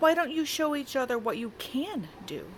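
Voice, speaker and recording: A put-on character voice with lively intonation comes at a moderate pace over clear background noise. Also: woman, high pitch for a woman. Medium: read story. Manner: gentle, soothing.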